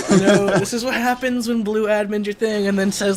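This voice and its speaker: Noticeable background noise surrounds a man speaking in a high voice. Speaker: esports shoutcaster. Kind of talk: live commentary. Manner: casual, animated.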